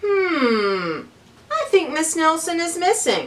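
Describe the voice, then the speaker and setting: A woman speaks in a put-on character voice with an extremely high pitch. She talks very slowly. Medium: read story.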